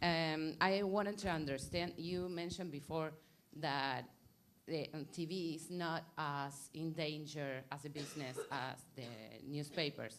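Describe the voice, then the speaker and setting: A woman with a Spanish accent speaks at a fairly slow pace, her pitch very deep and low. Her intonation stays fairly even, and room echo is audible. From Argentina. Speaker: audience member asking a question. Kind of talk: audience question. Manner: halting.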